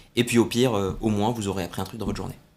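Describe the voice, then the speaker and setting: Recorded very cleanly against a silent background, a man with a normal speaking voice speaks at fairly low pitch with ordinary pitch variation. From southern France, Salon-de-Provence area. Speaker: air show commentator and military officer. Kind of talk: interview.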